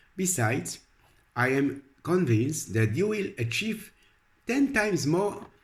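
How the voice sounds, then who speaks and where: This man speaks at a fairly slow pace in a fairly high pitch, with very wide pitch swings and vocal fry. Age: 60s. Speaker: religious and self-help video blogger. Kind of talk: scripted narration. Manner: halting.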